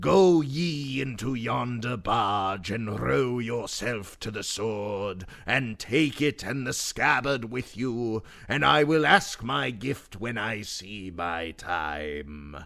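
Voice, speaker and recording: This put-on character voice makes very wide pitch swings. It speaks at a very slow pace. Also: man, medium pitch for a man. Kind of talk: archaic storytelling. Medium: read story.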